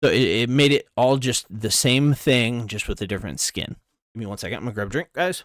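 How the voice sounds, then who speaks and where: This man's voice sits at a medium pitch with ordinary pitch variation, moving at a fairly quick pace. The recording is very clean and silent behind him, with a dry, close sound and no echo. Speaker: gaming YouTuber. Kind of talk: reading aloud and commenting on an article. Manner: fast.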